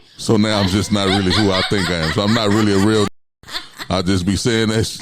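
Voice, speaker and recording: A man talks at a very fast pace with very even loudness and a fairly low pitch. Room echo is audible. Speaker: podcast co-host. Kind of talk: casual chat. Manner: animated.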